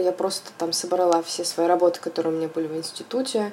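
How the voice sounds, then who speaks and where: At a moderate pace, a woman of medium pitch speaks over noticeable background noise. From Russia, Volgograd. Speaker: interior designer. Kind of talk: interview. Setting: remote call.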